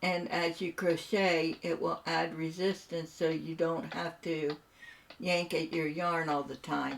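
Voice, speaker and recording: A woman with an American accent speaks at a fairly slow pace and fairly low pitch. Noticeable background noise is present. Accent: Appalachian-tinged US Midland. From Southern Ohio, US. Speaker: gaming streamer. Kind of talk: casual chat. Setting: live stream. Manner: animated.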